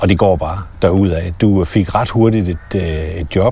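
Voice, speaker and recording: A man talks in a very deep, low pitch. Noticeable background noise can be heard. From Denmark. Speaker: podcast host. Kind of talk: casual interview. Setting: outdoors walking in a forest.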